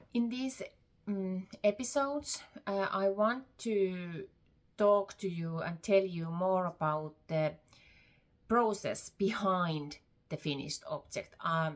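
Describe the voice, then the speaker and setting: A woman speaks at a very slow pace with a Finnish accent. Her pitch sits in the medium range. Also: lively intonation. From Finland, Tampere. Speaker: crochet vlogger. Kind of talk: casual vlog talk. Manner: halting, with fillers.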